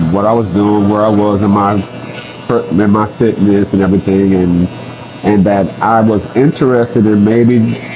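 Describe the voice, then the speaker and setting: A man's fairly low voice at a moderate pace, fairly even in intonation, against noticeable background noise. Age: 60s. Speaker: bodybuilder. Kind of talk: casual interview answer. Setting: barbershop.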